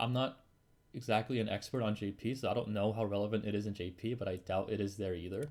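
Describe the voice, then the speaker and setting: On a very clean recording with a silent background, a man talks at a very fast pace in a fairly low pitch. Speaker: gaming youtuber. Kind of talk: tier list commentary. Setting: at home. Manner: info-focused, not very animated.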